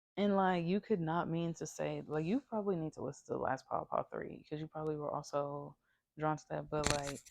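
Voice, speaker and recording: A woman with a very deep, low pitch talks at a fairly quick pace with ordinary pitch variation. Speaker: tarot reader. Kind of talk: tarot reading. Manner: casual, filler-heavy.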